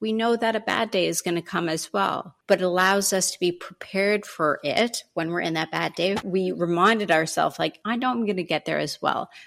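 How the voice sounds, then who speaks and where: In a Canadian accent, a woman uses an ordinary speaking voice at a medium pitch with ordinary pitch variation. Her pace is fairly quick, on a very clean recording with a silent background. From Canada. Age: 40s. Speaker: self respect coach. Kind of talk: interview.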